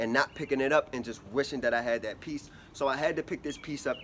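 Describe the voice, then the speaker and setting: Speaking very fast, a man is heard with light noise in the background. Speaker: fashion vlogger. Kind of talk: casual vlog chat. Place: street. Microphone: phone near.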